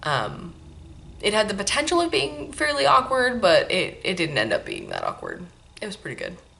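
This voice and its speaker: A woman speaks at a moderate pace in a relaxed tone. Her loudness swings widely. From Maine, then California as a child. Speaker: knitting podcast host. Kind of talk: casual chat. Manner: relaxed, many fillers.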